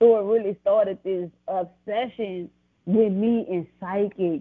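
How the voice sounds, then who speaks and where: A woman with a New Orleans accent speaks at a fairly slow pace. Her voice sits at a medium pitch with ordinary pitch variation. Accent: New Orleans Southern American. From US South, New Orleans, Louisiana. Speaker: author and business owner. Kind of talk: testimony.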